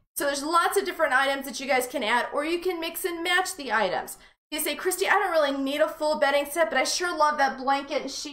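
A woman talks at a very fast pace with hardly any pauses. Her voice is high, with ordinary pitch variation. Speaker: shop host. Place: studio.

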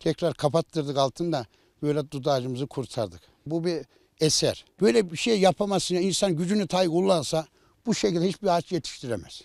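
With an unremarkable speaking voice, a man talks at a fairly quick pace in a fairly high pitch with ordinary pitch variation, captured in a very clean recording with a silent background and a dry, close sound with no echo. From Central Anatolia, Ankara countryside. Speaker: village headman. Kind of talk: interview.

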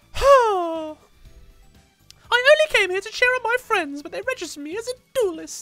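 A female-sounding put-on character voice speaks at an extremely high pitch and a moderate pace. Long, frequent pauses break it up, with faint music in the background. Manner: girly, squeaky.

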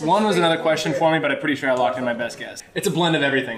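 A man speaks at a very fast pace. Loud background noise is heard. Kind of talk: casual group banter. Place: bar. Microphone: phone near.

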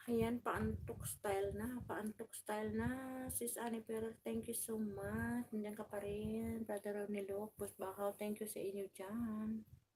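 Against noticeable background noise, a woman speaks at a very slow pace with hardly any pauses. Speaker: vlogger. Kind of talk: live stream chat. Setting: home. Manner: loud; animated.

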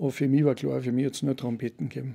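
Against a quiet background, a man of medium pitch rattles along at a very fast pace in a dark, mellow tone. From Austria, Salzburg (Pongau, Werfen); Austria. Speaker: business coach and brass band chairman; business coach. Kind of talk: casual chat. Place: studio. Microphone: studio mic.

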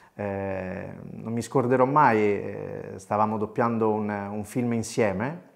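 A man's voice over a quiet background. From Italy, Rome. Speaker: voice actor; voice actor recounting career. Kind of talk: storytelling monologue. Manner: animated. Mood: warm, nostalgic. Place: home room. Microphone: lapel.

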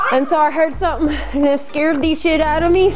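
A woman talks at a moderate pace. Faint music sits in the background. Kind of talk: casual vlog chat. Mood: scared, heart racing. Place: factory. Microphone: phone near.

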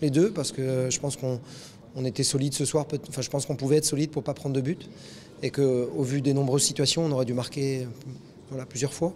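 A man's fairly quick, fairly evenly intoned speech over light background noise. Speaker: football coach. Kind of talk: interview answer. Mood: disappointed but composed. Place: stadium. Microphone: handheld.

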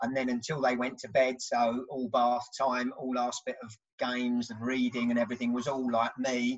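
In a southern English accent, a man speaks at a moderate pace with hardly any pauses, using a medium pitch and monotone, flat intonation against a quiet background. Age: 50s. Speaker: construction project manager; podcast guest. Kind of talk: casual chat. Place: home room. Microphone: video call.

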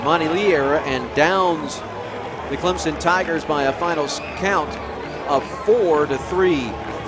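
The speech moves at a fairly slow pace. The sound is dry with no echo, yet background noise is loud. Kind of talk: live sports commentary. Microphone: headset.

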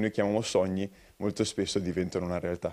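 At a very fast pace, a man talks in a dark, mellow tone over a quiet background. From Sardinia, Italy (Alghero); Sardinia, Italy. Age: young. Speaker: entrepreneur, coaching academy founder; interviewee. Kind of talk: TV news interview; interview answer. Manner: hesitant fillers. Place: studio. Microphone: handheld.

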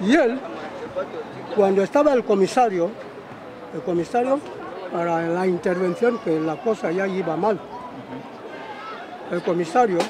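Against crowd noise, a man with a high voice and ordinary pitch variation speaks fairly slowly, with long, frequent pauses. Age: old. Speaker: interviewed local resident. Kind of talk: interview answer. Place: street.

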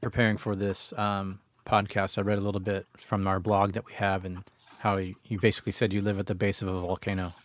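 A man speaks in an ordinary speaking voice. His pitch sits fairly low. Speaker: podcast host. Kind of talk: casual interview. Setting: video call.

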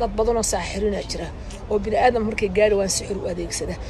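Speaking at a very fast pace, a woman keeps a medium pitch and fairly even intonation over clear background noise.

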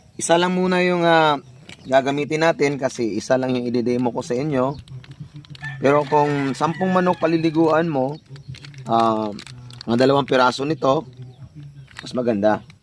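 A man's fairly high voice at a moderate pace, ordinary in pitch variation, with long, frequent pauses and noticeable background noise. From Mindanao, Davao (Bisaya speaker). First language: Cebuano (Bisaya) (speaking Tagalog). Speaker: poultry vlogger. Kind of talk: tutorial. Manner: halting, with many fillers.

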